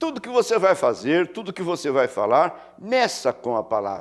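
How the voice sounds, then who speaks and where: The recording of this man's voice is very clean, with total silence behind it. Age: 80s+. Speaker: pastor. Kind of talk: sermon.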